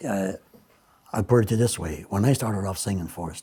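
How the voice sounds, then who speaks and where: A man with an Irish accent speaks at a fairly low pitch with ordinary pitch variation. His dark, mellow tone is somewhat breathy. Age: 70s. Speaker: Elvis impersonator. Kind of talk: interview. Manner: halting.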